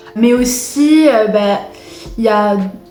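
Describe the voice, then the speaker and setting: Noticeable background noise and audible room echo surround a woman speaking in a fairly high voice. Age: 20s. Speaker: student vlogger. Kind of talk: personal vlog. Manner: hesitant, many fillers.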